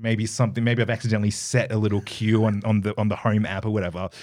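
Fairly quick speech from a man with an Australian accent and fairly low pitch, very clean recording with a silent background. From Australia, Perth. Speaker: radio host and dancer. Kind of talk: casual interview.

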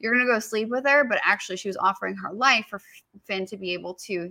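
A woman's bright, sharp voice at medium pitch, with ordinary pitch variation and a very fast pace. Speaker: podcast host. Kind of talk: casual chat. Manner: fast talker.

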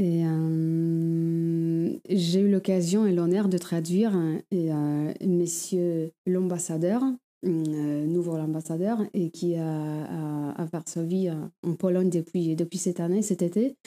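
A woman with a Polish accent speaks at a very slow pace in a dark, mellow tone. Her intonation is fairly even, and the recording is very clean with a silent background. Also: fairly low pitch for a woman. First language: Polish (speaking French). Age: 30s. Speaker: sworn translator. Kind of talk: interview. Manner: halting, many hesitations.

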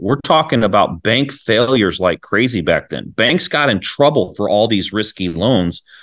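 With lively intonation, a man speaks in an ordinary speaking voice at a medium pitch. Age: 40s. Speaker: real estate investor. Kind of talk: interview.

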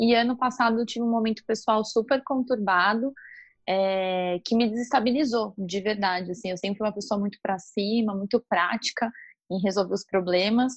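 A woman with a normal speaking voice speaks at a fairly high pitch and a moderate pace. Her intonation is fairly even, and the background is quiet. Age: 30s. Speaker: marketing professional. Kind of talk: casual interview.

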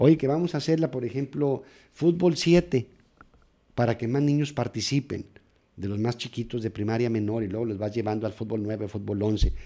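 On a very clean recording with a silent background, a man speaks with a dark, mellow tone at medium pitch. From Mexico, Nogales, Sonora. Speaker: sports psychologist. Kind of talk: interview.

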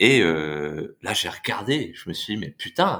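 Very wide pitch swings in a very clean recording with a silent background. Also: man. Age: 20s. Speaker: investor and part-time travel planner. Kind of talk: casual chat. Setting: podcast recording.

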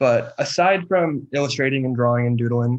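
With a West Coast accent, a man speaks at a moderate pace and fairly even intonation. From US Pacific Northwest, near Seattle. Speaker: graphic designer and illustrator. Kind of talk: casual interview.

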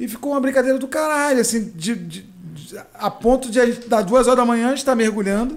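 A man races along at a very fast pace with hardly any pauses, his pitch extremely high and fairly even, while his loudness swings widely. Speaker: comedian. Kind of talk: casual chat.

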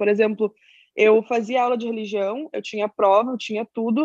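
With a plain, everyday voice, a woman speaks at a fairly quick pace in a dry, close sound with no echo. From southern Brazil (Pelotas, Rio Grande do Sul). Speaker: activist explaining Palestinian issues. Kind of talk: interview.

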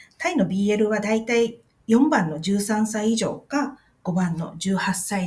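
A somewhat breathy woman's voice at medium pitch, with lively intonation and a fairly slow pace. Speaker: podcast host, Thai-Japanese video translator. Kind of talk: casual explainer podcast. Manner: halting with many fillers.

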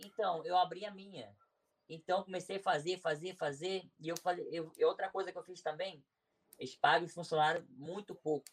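A man speaks at a moderate pace in a high pitch with fairly even intonation. His loudness swings widely. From Brazil, Nova Iguaçu (Rio de Janeiro). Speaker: YouTuber and businessman. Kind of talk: interview, life story. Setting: live stream.

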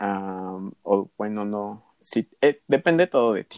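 A man with fairly low pitch is heard in a dry, close sound with no echo. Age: 20s. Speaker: nursing student. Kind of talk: casual chat. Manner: halting.

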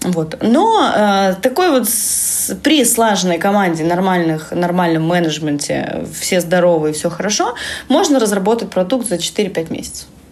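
A woman at a medium pitch and fairly slow pace, lively intonation, audible room echo and noticeable background noise. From Russian Far East, Vladivostok. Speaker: education lead, VR lab researcher. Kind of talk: casual interview. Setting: at her lab office.

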